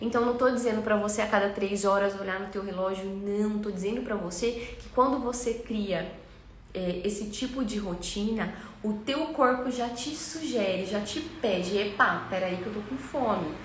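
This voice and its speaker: A woman's fairly high-pitched voice at a moderate pace, ordinary pitch variation, audible room echo and noticeable background noise. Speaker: weight-loss coach. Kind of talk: live stream class.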